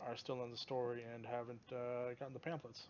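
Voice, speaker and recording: A man speaks in a relaxed tone. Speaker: gaming video creator. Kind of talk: gameplay tutorial. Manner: rambling, many filler words; casual, relaxed.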